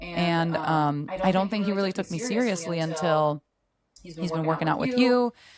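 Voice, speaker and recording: With a fairly low pitch and ordinary pitch variation, a woman talks at a moderate pace. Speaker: nurse and program participant. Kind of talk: interview. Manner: loud, boisterous.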